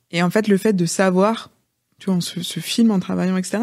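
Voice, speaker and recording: Against a quiet background, a woman speaks in a medium pitch. Her pace is moderate and her intonation fairly even. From Rennes, Brittany, France; Brittany, France. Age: 30s. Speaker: entrepreneur, former nurse; podcast guest. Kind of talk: interview conversation. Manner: hesitant, many fillers. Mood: relaxed, reflective. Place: studio. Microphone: studio mic.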